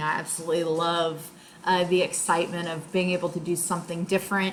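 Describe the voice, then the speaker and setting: A woman speaks with a Gulf Coast accent in a fairly low voice. Noticeable background noise runs under her. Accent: US Southern (Gulf Coast). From Louisiana (Chalmette, near New Orleans). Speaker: high school English teacher. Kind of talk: self-introduction monologue. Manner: hesitant, many fillers.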